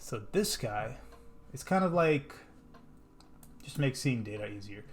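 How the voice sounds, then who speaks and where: Against audible room echo, a man with a medium pitch sounds somewhat breathy and makes very wide pitch swings. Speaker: software developer. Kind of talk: coding tutorial. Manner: casual.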